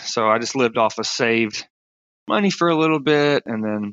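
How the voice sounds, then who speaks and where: Against a quiet background, a man speaks in a bright, sharp tone at a medium pitch, the sound dry and close with no echo. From rural South Carolina, US. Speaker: stand-up comedian, film crew worker, former Marine. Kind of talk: interview answer. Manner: casual.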